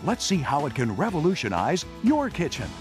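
There is music in the background as a man speaks. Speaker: announcer. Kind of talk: infomercial voiceover.

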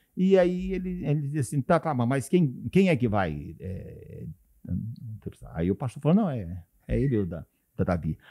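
A man speaks in a dark, mellow tone. His pitch swings very widely, and he leaves long, frequent pauses. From Paraná, Brazil. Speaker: pastor and radio broadcaster. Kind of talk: casual interview. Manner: halting.

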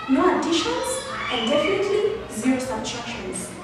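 A woman speaks over noticeable background noise. Her voice carries a strong room echo. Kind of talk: acted debate speech. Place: classroom.

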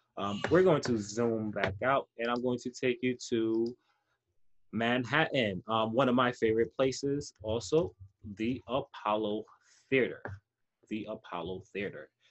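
At a fairly slow pace, a man with an American accent speaks with ordinary pitch variation against a quiet background. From New York City, the Bronx. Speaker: teaching artist. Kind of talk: online lesson. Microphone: webcam.

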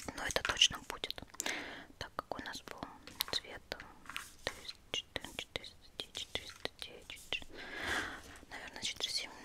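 A woman keeps to a fairly slow pace as she whispers. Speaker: ASMR beauty blogger. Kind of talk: ASMR cosmetics review, casual chat to camera. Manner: whispered, intimate. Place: home room. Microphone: studio mic.

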